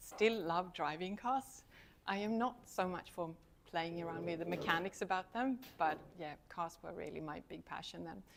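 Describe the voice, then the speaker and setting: With a Swedish accent, a woman speaks in a fairly low voice at a moderate pace, showing ordinary pitch variation, big swings in loudness, and long, frequent pauses. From Sweden. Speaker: university lecturer. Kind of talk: talk to students.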